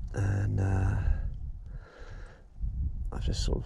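Over light background noise, a man speaks at a very slow pace in a dry sound with no echo. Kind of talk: casual vlog chat. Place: beach. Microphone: phone near.

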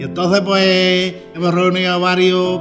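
A man is speaking. Music plays clearly behind him. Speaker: fair herald. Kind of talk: casual conversation. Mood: warm, nostalgic, friendly. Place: hall.

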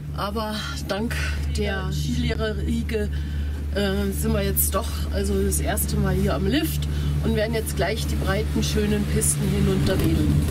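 A woman at a fairly slow pace with long, frequent pauses, music in the background. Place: open country. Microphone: phone near.

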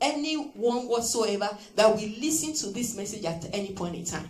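A woman's voice swings very widely in pitch. Light background noise and audible room echo surround it. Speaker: preacher. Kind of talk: sermon. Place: church. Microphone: handheld.

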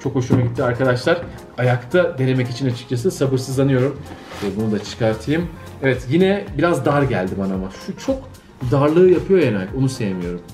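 Faint music sits in the background. A man talks at a fairly quick pace. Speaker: sneaker reviewer. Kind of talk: casual unboxing review chat. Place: home room. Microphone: camera far.

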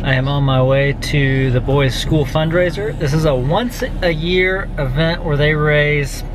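With noticeable background noise and a dry sound with no echo, a man speaks at a fairly high pitch. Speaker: business owner / consultant making business video blog. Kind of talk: casual talk to camera. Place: home room. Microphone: phone near.

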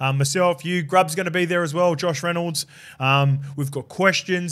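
With fairly even intonation, a man delivers his words at a fairly quick pace. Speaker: podcast host. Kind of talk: casual podcast chat. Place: studio. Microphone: studio mic.

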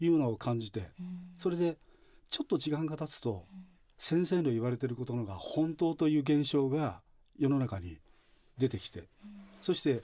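A man with a dark, mellow tone and fairly high pitch speaks at a moderate pace against a quiet background. His intonation is lively, and he leaves long, frequent pauses. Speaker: religious facility director; guest. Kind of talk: radio interview. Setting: studio. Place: studio.

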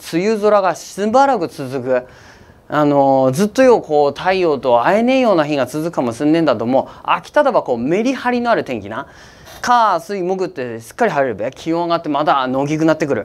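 In an Akita accent, a man speaks with very wide pitch swings. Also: fairly high pitch for a man, fairly quick pace. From Akita, Japan. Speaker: weather forecaster. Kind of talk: casual weather forecast talk to camera. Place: studio. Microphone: lapel.

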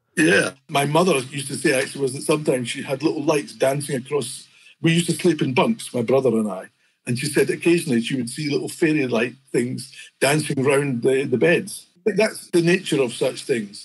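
A man with a fairly high, somewhat breathy voice speaks at a fairly quick pace with ordinary pitch variation. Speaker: fantasy illustrator. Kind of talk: interview answer.

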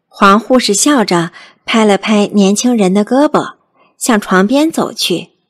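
Against a quiet background, the voice gives a plain reading aloud.

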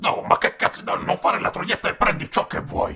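A man puts on a raspy character voice, pitched high for a man. He talks at a moderate pace. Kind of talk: motivational speech. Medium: dub. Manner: forceful, foul-mouthed.

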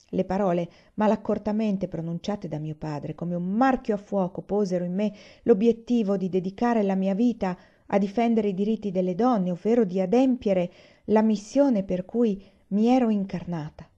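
A woman speaks at a medium pitch and a fairly quick pace. Her tone is dark and mellow, as well as solemn and dramatic. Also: ordinary pitch variation.

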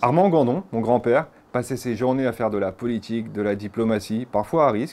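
A man with a medium pitch speaks in a dark, mellow tone. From France. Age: 30s. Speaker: interviewee. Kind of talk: interview. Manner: hesitant with frequent fillers. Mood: calm, reflective storytelling. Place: home room. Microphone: lapel.

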